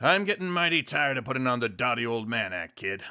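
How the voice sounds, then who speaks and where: Putting on a raspy character voice, a man races along at a very fast pace with very wide pitch swings around a medium pitch. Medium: read story. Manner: gravelly and streetwise.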